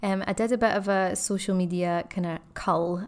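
A woman with a Scottish accent, medium in pitch, at a fairly slow pace. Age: 30s. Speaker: podcast host, ex-teacher and wellbeing coach. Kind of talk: casual solo podcast monologue.

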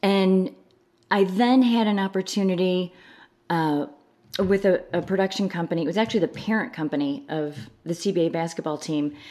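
In an unremarkable speaking voice, a woman with an American accent talks at a moderate pace and medium pitch with ordinary pitch variation, in a very clean recording with a silent background. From US Midwest, Chicago suburbs, Illinois. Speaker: pageant director. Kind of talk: casual interview chat.

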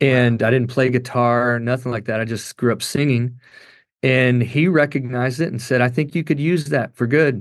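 A man with a Kentucky accent, medium in pitch. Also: moderate pace. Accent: Kentucky Southern US. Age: 40s. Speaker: worship pastor and singer. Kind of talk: interview testimony. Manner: casual, animated.

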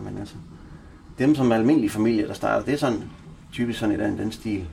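A man talks at a very fast pace. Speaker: drug user. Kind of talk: interview, discussion.

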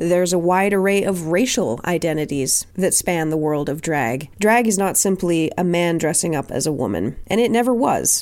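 With a Canadian accent, a woman speaks at a moderate pace, her pitch fairly low and her intonation ordinary in its variation. She has a plain, everyday voice. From Nova Scotia, Canada. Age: 30s. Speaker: podcast host and drag king. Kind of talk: solo podcast monologue.

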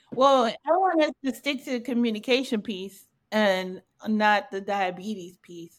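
A woman with a fairly high pitch speaks at a fairly slow pace with lively intonation, in a normal speaking voice. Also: big swings in loudness. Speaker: podcast host. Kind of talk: casual conversational podcast intro and moderating.

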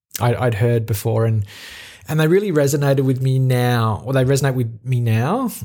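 A man's medium-pitched voice with an Australian accent and a dark, mellow tone. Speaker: podcast host. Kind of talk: solo reflective monologue. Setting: talking into a microphone alone.

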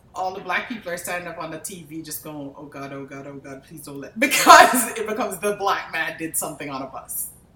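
A fairly quick delivery with hardly any pauses, lively intonation and big swings in loudness, set against noticeable background noise. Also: woman, fairly low pitch for a woman. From Jamaica. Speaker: pathologist. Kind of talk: interview.

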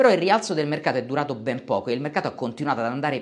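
This is a plain, everyday voice with lively intonation. The man's pitch is fairly high. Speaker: finance YouTuber. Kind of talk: scripted narration.

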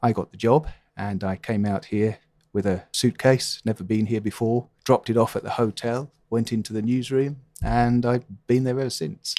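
In a southern English accent, a man speaks at medium pitch with a dark, mellow tone and fairly even intonation, recorded very cleanly against a silent background with a dry, close sound and no echo. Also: moderate pace. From London, England. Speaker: newspaper columnist. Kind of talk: interview.

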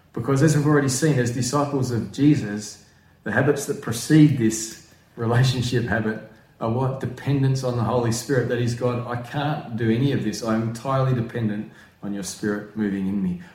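A man at medium pitch with fairly even intonation, amid noticeable background noise and audible room echo. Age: 40s. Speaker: pastor. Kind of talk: sermon. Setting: at home.

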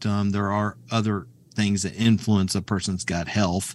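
A man with an American accent speaks at a fairly slow pace and a fairly low pitch. The recording is very clean, with a silent background. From US Midwest, rural Kansas. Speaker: colorectal surgeon. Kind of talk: interview. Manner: halting, many fillers.

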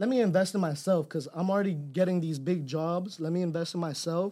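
A man's high-pitched voice with an American accent, a dark, mellow tone and ordinary pitch variation. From Los Angeles, then Fort Myers, Florida. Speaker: videographer and photographer. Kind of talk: casual interview. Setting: studio.

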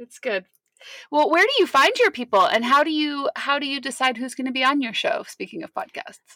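At a moderate pace, a woman with a high pitch speaks in a raised, projected voice with a bright, sharp tone, lively intonation and big swings in loudness, the sound dry and close with no echo. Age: 40s. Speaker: podcast host and business consultant. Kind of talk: interview.

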